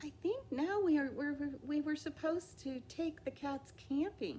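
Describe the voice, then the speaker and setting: A put-on character voice with a high pitch moves at a moderate pace over clear background noise. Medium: read story. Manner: earnest, eager.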